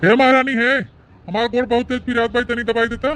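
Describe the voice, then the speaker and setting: A man puts on a cartoonish character voice at an extremely high pitch, talking fairly quickly with monotone, flat intonation. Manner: rough, bossy.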